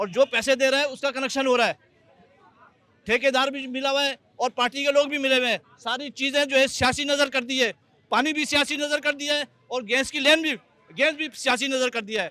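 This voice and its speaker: At a moderate pace, a man speaks in a raised, projected voice of extremely high pitch with fairly even intonation. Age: 60s. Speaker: resident. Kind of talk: public complaint.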